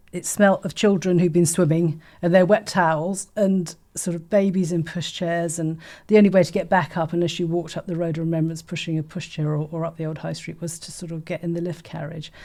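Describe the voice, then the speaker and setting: In a southern English accent, a woman with a fairly low pitch and a dark, mellow tone speaks at a fairly quick pace with hardly any pauses and a monotone, flat intonation, in a very clean recording with a silent background. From Folkestone, Kent, England. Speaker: artistic director. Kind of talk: oral history interview answer.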